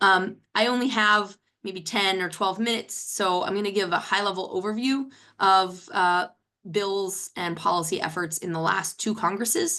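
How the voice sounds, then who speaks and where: A woman speaks at a moderate pace with fairly even intonation and a medium pitch. Her tone is bright and sharp, set against a quiet background. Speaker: policy expert. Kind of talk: webinar presentation.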